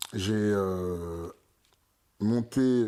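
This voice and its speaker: The recording is very clean with a silent background. A man speaks with ordinary pitch variation. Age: 30s. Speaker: entrepreneur opening a vegan pastry shop. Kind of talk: casual interview. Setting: at his home. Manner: hesitant, many fillers.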